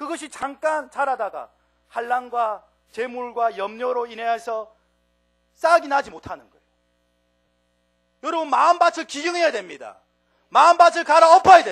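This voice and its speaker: A man with a strong Gyeongsang accent at an extremely high pitch, lively intonation, big swings in loudness, a moderate pace and long, frequent pauses. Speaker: preacher. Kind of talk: sermon.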